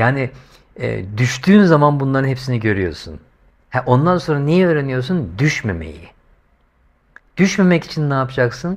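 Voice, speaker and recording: Over a quiet background, a man with an animated tone makes very wide pitch swings at a moderate pace, pausing long and often. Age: 50s. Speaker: YouTuber. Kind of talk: monologue vlog commentary. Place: home room. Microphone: lapel.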